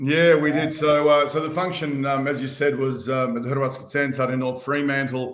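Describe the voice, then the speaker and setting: Speaking with an Australian accent, a man has a fairly high pitch and a moderate pace. Audible room echo surrounds his voice. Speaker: band member and community organiser. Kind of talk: casual chat. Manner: hesitant with many fillers.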